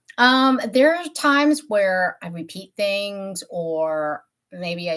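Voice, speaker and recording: In an animated tone, a woman at medium pitch speaks with very wide pitch swings. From Tennessee. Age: 50s. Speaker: beauty YouTuber. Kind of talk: casual live-stream chat. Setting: live stream from home office.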